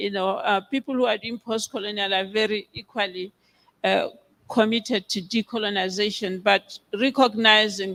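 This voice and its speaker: This speaker talks at a moderate pace with a Botswana accent. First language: Setswana. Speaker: biblical scholar. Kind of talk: conference Q&A answer. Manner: hesitant, many fillers.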